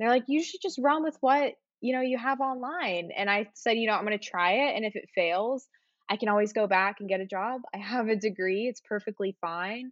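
In a normal speaking voice, a woman with an American accent talks at a fairly quick pace and a fairly high pitch, her intonation lively. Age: 20s. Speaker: content creator. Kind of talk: casual chat. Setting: video call.

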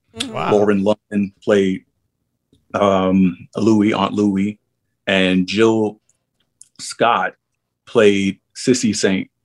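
With a New York accent, a man speaks at a very slow pace and a fairly low pitch, his intonation monotone and flat, with long, frequent pauses and a dry, close sound with no echo. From New York City, Harlem. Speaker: actor. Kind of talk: interview.

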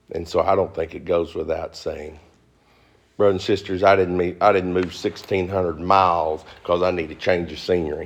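In a Southern US accent, the speaker keeps a moderate pace with monotone, flat intonation. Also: man, very deep, low pitch for a man. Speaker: pastor. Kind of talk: sermon. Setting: church.

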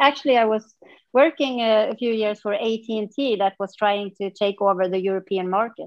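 Her voice sits fairly high, moving at a moderate pace with ordinary pitch variation. The woman's sound is dry and close, with no echo. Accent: Swedish. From central Sweden. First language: Swedish. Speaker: yoga practitioner. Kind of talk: interview. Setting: remote call from a hotel conference room.

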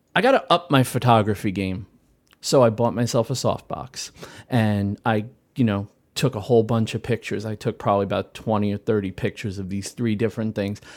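A man with a plain, everyday voice speaks at a fairly quick pace and a fairly low pitch, with ordinary pitch variation, on a very clean recording with a silent background. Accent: American. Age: 40s. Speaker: maker. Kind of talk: casual chat.

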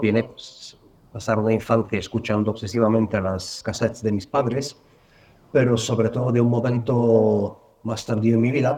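Dark and mellow in tone, a man speaks at a moderate pace with monotone, flat intonation. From Bulgaria. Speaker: sound artist. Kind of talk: interview.

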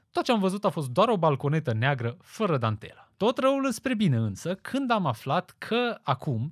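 On a very clean recording with a silent background and a dry, close sound with no echo, a man speaks at a moderate pace in a somewhat breathy voice with very wide pitch swings. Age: 20s. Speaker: podcast host. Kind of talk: scripted monologue. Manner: formal.

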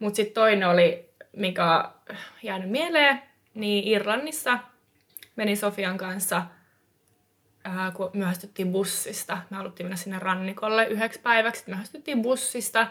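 Leaving long, frequent pauses, a woman talks at a medium pitch with ordinary pitch variation. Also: moderate pace, big swings in loudness. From eastern Finland. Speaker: experienced hitchhiker. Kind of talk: casual chat.

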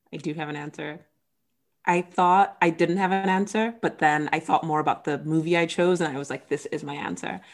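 A normal speaking voice from a woman, fairly low in pitch with ordinary variation, moves at a fairly quick pace in a very clean recording with a silent background. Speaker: podcast host. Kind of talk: casual chat.

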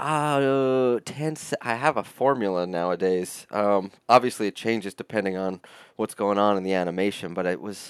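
With a dry, close sound and no echo, a man in an ordinary speaking voice talks at a fairly low pitch with ordinary pitch variation. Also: moderate pace, very clean recording, silent background. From upstate New York. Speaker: metal artist. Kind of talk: interview.

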